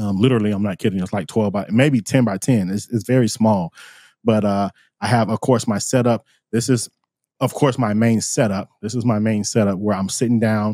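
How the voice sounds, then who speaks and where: A man with an American accent speaks in a normal speaking voice at a moderate pace, his fairly low pitch and fairly even intonation captured in a very clean recording with a silent background and a dry, close sound with no echo. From Florida, US. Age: 40s. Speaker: musician and live-streaming consultant. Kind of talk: casual interview.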